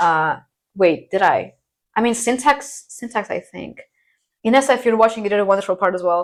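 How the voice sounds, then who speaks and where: A woman with an American accent talks at a fairly quick pace and fairly high pitch, her intonation lively, with long, frequent pauses. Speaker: university student, conlang creator. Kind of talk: casual chat.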